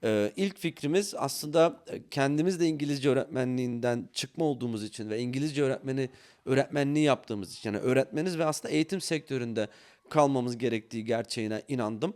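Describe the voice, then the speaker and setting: Very fast pace from a man at a medium pitch. His pitch variation is ordinary. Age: 40s. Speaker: CEO of a study-abroad consultancy, former English teacher. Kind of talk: podcast interview. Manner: hesitant, many filler sounds.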